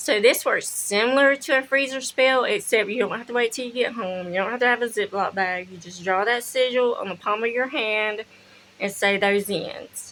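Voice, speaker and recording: A woman with an American accent speaks at a moderate pace in a fairly high, bright, sharp voice with ordinary pitch variation. Her loudness swings widely, over light background noise. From US South. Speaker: spiritual practice vlogger; witchcraft content creator. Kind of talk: casual tutorial; casual vlog chat. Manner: casual, with fillers and swearing. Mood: relaxed, blunt. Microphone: phone near.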